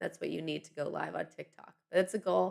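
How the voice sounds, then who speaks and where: Speaking very fast, a woman has an American accent and a fairly low pitch. Vocal fry colors her voice. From US East Coast. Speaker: online news show host. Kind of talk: live stream chat.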